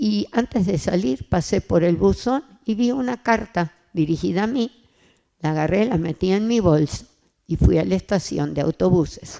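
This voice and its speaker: Dry, close sound with no echo, and a woman's dark, mellow tone with lively intonation at a moderate pace. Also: fairly low pitch for a woman. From Argentina, Buenos Aires. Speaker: church testimony speaker. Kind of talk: testimony.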